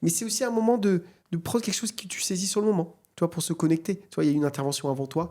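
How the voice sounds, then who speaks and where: On a very clean recording with a silent background, a man with a dark, mellow tone and fairly high pitch talks at a very fast pace with lively intonation. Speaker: AI entrepreneur and conference speaker. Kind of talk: podcast interview.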